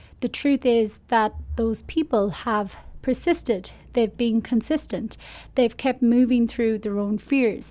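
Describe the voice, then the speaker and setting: In an Irish accent, a woman speaks at a fairly slow pace with a fairly high pitch and ordinary pitch variation. The recording is very clean, with a silent background. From Ireland. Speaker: life coach. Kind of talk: podcast monologue. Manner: casual.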